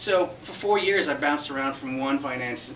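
Through noticeable background noise, a man talks at a very fast pace. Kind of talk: prepared public speech. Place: classroom. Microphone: camera far.

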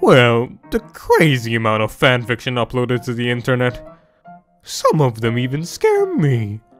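A put-on character voice sits at a low-to-middle pitch and moves at a moderate pace. Faint music plays in the background. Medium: fan dub. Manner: cheerful, teasing, playful.

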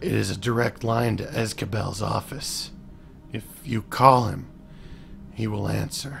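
A put-on character voice from a man, raspy and fairly low in pitch, fairly slow, with clear background noise.

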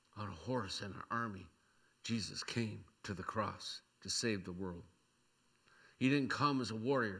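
A man's fairly low voice with a bright, sharp tone, ordinary pitch variation and a moderate pace against a quiet background. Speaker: pastor. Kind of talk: sermon. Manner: seated while preaching.

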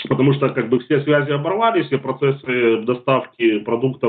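A man talks at a moderate speed, his pitch varying in an ordinary way against a quiet background. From Ukraine, Kherson; Ukraine. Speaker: war refugee; guest. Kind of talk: testimony. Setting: video call. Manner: halting. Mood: sombre, emotional recounting. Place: home room. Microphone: video call.

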